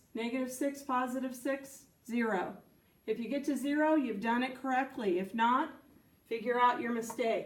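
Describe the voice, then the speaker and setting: A woman speaks at a fairly slow pace in a high voice, her intonation fairly even. Room echo is audible around her. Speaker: science teacher. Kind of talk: tutorial.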